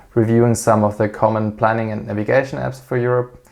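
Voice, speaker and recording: A man with a German accent. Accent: non-native English, German-speaking. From Switzerland. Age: 30s. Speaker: airline pilot and aviation YouTuber. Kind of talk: channel introduction monologue. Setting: at home. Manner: hesitant, frequent filler 'uh'.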